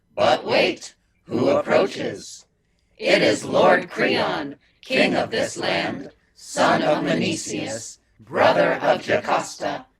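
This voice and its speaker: A man speaks in a put-on character voice at a very slow pace. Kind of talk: mock tragic chorus declamation. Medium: stage play. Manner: deadpan, sardonic.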